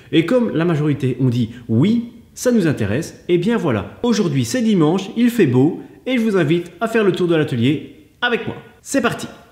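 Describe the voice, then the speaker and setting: A man's high-pitched voice with audible room echo. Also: moderate pace. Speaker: woodworking vlogger. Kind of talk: casual vlog chat. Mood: upbeat, friendly. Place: workshop. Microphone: camera far.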